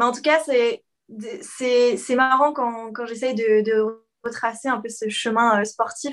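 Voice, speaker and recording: Speech comes at a very slow pace with fairly even intonation. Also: woman, high pitch for a woman. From France and Quebec. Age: 20s. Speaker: PE teacher and content creator. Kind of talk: casual interview.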